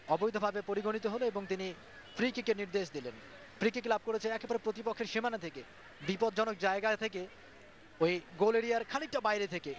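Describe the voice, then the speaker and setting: This man's voice sits high in pitch. It rises and falls in an ordinary way. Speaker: football commentator. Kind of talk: live football match commentary.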